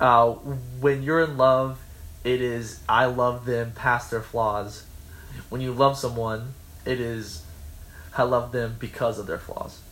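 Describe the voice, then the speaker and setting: With audible room echo, a man speaks at a medium pitch and a very slow pace, his intonation flat and monotone, with long, frequent pauses. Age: 20s. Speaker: college radio podcast host. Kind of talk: casual chat.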